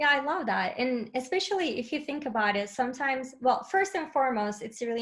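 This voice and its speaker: Speaking with a non-native accent, a woman moves at a fairly quick pace. Her intonation is lively. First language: not English. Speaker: head of learning and enablement, webinar guest. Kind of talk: webinar interview. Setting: live webinar, remote.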